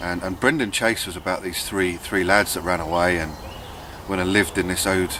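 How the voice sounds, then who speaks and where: A man talks at a fairly quick pace in a southern English accent, his pitch very deep and low. His intonation stays monotone and flat over noticeable background noise. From southern England, Buckinghamshire. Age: 30s. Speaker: bushcraft vlogger. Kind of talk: casual vlog monologue. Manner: hesitant, many fillers.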